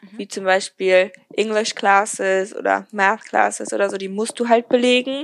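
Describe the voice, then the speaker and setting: Woman of medium pitch, an unremarkable speaking voice with fairly even intonation. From Germany. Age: young. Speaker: podcaster, recent school graduate. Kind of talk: casual interview.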